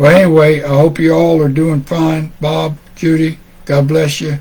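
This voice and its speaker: Against noticeable background noise, a man with a Tennessee accent speaks at a fairly slow pace. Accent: US Southern (Tennessee). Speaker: amateur radio net controller. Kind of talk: radio net closing remarks, casual chat. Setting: amateur radio net, streamed live. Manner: halting, many fillers and repetitions.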